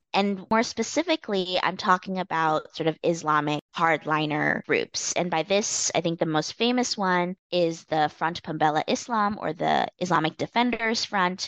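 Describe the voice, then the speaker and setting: A woman with a Canadian accent has an ordinary speaking voice, a fairly low pitch and ordinary pitch variation, at a moderate pace. The sound is dry and close with no echo, against a quiet background. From Canada. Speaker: political science professor. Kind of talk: academic interview.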